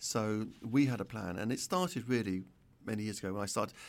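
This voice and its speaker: With a London accent, a man talks at a fairly quick pace in a fairly low pitch with ordinary pitch variation, on a very clean recording with a silent background. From North London. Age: 60s. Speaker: retired pharmacist and entrepreneur. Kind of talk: interview.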